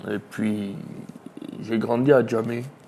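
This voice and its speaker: There is noticeable background noise as a man speaks at a very slow pace. His pitch is medium, with fairly even intonation. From Côte d'Ivoire (Abidjan, Adjamé). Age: 30s. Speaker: charity volunteer leader. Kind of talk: interview testimony.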